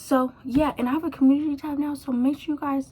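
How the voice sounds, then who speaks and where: A woman speaks quietly. Her pace is fairly quick. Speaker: hair YouTuber. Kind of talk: casual vlog talk to camera. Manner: quiet, low energy.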